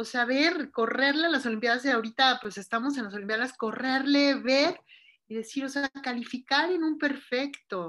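A woman speaks at a high pitch in a bright, sharp tone. Her pace is moderate, with ordinary pitch variation. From Mexico. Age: 40s. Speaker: ultramarathon runner. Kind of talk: interview.

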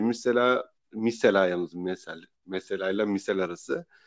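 A man is speaking. His pace is fairly slow. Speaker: podcast host. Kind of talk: casual chat.

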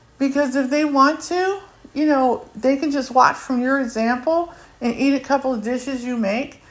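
At a moderate pace, a woman with a high pitch speaks with ordinary pitch variation over noticeable background noise. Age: 40s. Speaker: podcast host. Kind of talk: casual monologue. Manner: halting, many fillers.

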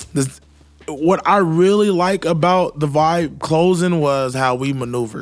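A man with an American accent and an ordinary speaking voice, fairly high pitch, ordinary pitch variation and a fairly slow pace. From Queens, New York and Jacksonville, Florida. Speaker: podcast co-host, music event promoter. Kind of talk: casual chat.

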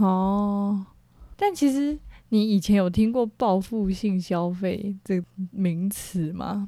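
A woman speaking at a very slow pace, her pitch varying in an ordinary way. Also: medium pitch for a woman. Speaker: podcast co-host. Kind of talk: casual chat.

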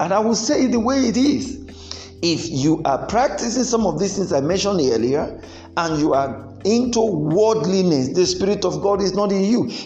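A man with a high voice talks at a moderate pace, his pitch swinging very widely while his loudness stays very even, with music playing in the background. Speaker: preacher and marriage counsellor. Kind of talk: sermon. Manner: animated.

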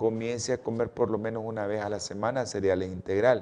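At a fairly quick pace, a man with a medium pitch and a dark, mellow tone keeps his intonation fairly even. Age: 60s. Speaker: doctor hosting a health show. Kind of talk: health talk.

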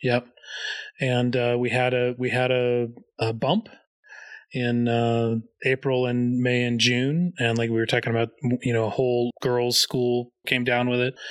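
The speech is slow-ish and monotone, with flat intonation, very even loudness and long, frequent pauses, over a quiet background. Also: man, medium pitch for a man. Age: 50s. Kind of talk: casual chat.

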